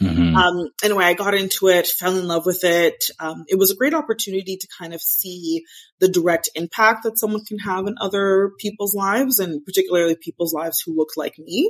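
Using an ordinary speaking voice, a woman talks at a fairly quick pace with hardly any pauses, medium pitch and ordinary pitch variation, in a dry, close sound with no echo. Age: 30s. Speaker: talent acquisition executive. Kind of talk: casual chat.

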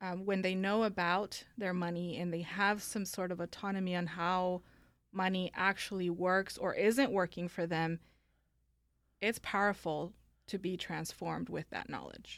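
A woman with an American accent has an unremarkable speaking voice at medium pitch, talking at a fairly slow pace with fairly even intonation in a very clean recording over a silent background. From Mexico (Guanajuato), then Northern California. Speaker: estate planning lawyer. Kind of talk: interview.

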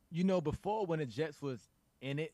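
His delivery comes at a fairly quick pace, and his pitch varies in an ordinary way. This man has an unremarkable speaking voice. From US South. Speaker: football analyst. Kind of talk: casual chat.

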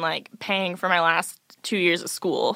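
Her tone is bright and sharp as the woman speaks at a moderate pace, on a very clean recording with a silent background. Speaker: college student. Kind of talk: interview. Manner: casual with many fillers.

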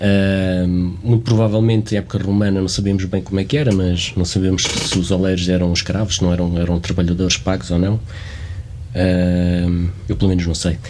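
Over noticeable background noise, a man with a very deep, low pitch talks at a moderate pace with hardly any pauses, very even loudness and fairly even intonation. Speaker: archaeologist and podcast host. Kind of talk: interview.

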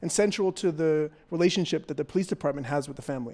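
A man talks with a Canadian accent. The recording is very clean, with a silent background. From Toronto, Canada. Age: young. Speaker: journalist and podcast host. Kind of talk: live on-stage interview; scripted narration. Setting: festival main stage with audience.

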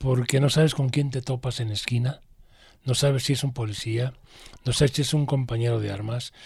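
At a moderate pace, a man speaks at a medium pitch with fairly even intonation and a somewhat breathy sound, on a very clean recording with a silent background. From Mexico, Guadalajara (Jalisco). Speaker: former student activist. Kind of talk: interview testimony.

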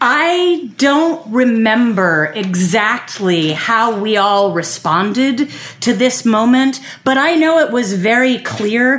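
In a room with audible echo and noticeable background noise, a woman with an American accent and a fairly high pitch talks at a very slow pace, her pitch swinging very widely while her loudness stays very even. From Philadelphia. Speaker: storyteller. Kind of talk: personal storytelling.

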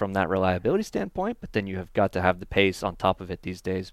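A man's fairly low voice with a General American accent, at a fairly quick pace, dry and close with no echo. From Northern California. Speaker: racing driver. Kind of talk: interview. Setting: track media center.

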